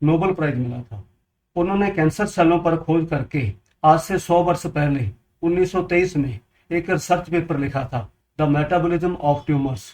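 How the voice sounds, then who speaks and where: Here a man speaks at a moderate pace. His pitch is fairly high and varies in an ordinary way. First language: Punjabi (speaking Hindi). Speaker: water purifier seller, health advice video maker. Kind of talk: informational talk to camera.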